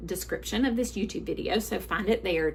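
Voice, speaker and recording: A woman speaks with a Southern US accent. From US South. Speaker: book sales consultant. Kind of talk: live sales presentation. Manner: halting.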